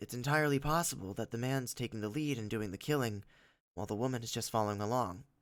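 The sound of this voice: The background is quiet, and an unforced reading voice moves with ordinary pitch variation.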